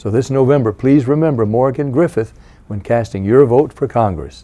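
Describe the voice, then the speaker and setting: At a moderate pace, a man talks with a dark, mellow tone and ordinary pitch variation. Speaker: singer. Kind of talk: political campaign endorsement ad. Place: studio. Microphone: lapel.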